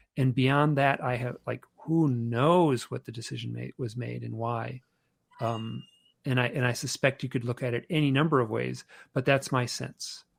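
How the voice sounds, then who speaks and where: Dry and close with no echo, on a very clean recording with a silent background, a man with an unremarkable speaking voice talks at a moderate pace and medium pitch. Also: fairly even intonation. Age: 60s. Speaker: author and UFO experiencer. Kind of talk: podcast interview.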